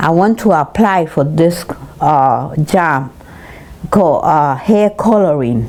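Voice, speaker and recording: Against noticeable background noise, a woman speaks at a very slow pace with lively intonation and very even loudness. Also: fairly low pitch for a woman. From Puerto Rico. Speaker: senior citizen, retired hairdresser. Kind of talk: interview answer, recalling life story. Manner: hesitant, halting, with repeated words.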